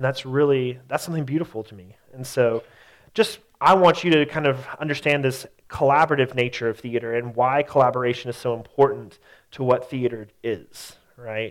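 A man talks at a medium pitch and moderate pace. His pitch varies in an ordinary way, and his loudness swings widely. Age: 30s. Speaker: teacher and theater artist. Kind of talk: lecture. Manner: halting, many fillers.

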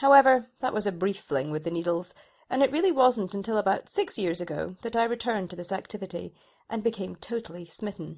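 At a fairly quick pace, a woman with a Shetland accent speaks in a medium pitch with lively intonation. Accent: Shetland Scottish. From Scotland, Shetland Islands. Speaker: knitwear designer. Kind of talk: reading aloud a personal essay.

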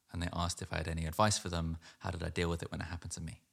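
A man in a London accent speaks with a very deep, low voice in a very clean recording with a silent background. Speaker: poet. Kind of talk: poetry reading; casual talk about the poem.

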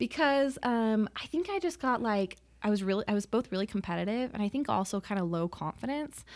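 A woman with an American accent speaks at a fairly quick pace in an ordinary speaking voice, her fairly high pitch carried by lively intonation on a very clean recording with a silent background. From Utah, Salt Lake City. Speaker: painter. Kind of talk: interview.

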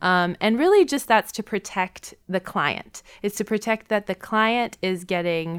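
With an American accent, a woman talks at a fairly slow pace in an unremarkable speaking voice, with ordinary pitch variation, a dry, close sound with no echo, and a very clean recording over a silent background. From Wisconsin, Milwaukee. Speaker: therapist and podcast co-host. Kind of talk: casual chat. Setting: studio.

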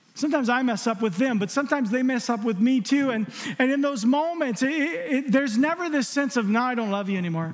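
A man at an extremely high pitch, with an animated tone, lively intonation, a very fast pace, and noticeable background noise. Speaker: preacher. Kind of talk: sermon. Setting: church with live congregation. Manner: warm, conversational.

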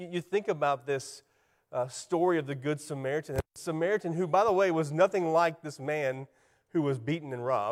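A moderate pace and a fairly high pitch define this man's speech. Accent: South Carolina. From US South, South Carolina. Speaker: church ministry specialist, guest preacher. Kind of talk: sermon. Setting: church.

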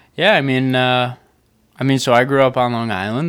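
In a very clean recording with a silent background, a man with an ordinary speaking voice talks at medium pitch and a fairly quick pace. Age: 20s. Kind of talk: casual banter with partner. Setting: home, recording with a microphone.

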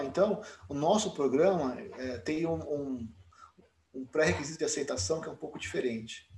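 There's vocal fry in this man's voice, which sits at a fairly high pitch. He speaks at a moderate pace. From Brazil, São Paulo. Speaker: dentist and program director. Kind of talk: interview.

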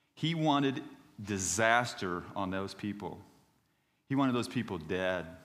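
Amid audible room echo, a man with a fairly low pitch talks at a fairly slow pace, leaving long, frequent pauses. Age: 50s. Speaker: missionary preacher. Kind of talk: sermon.

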